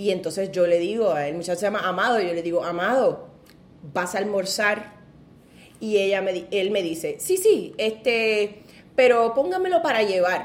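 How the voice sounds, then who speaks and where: A woman speaks with ordinary pitch variation, with audible room echo around her voice. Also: medium pitch for a woman, moderate pace. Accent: Puerto Rican. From Puerto Rico, Ponce. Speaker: seamstress. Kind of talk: casual chat.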